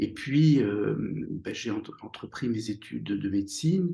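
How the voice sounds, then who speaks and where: The man's tone is dark and mellow, and somewhat breathy. He talks at a fairly slow pace with lively intonation. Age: 60s. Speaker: psychotherapist and author. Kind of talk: interview. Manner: halting, many hesitations.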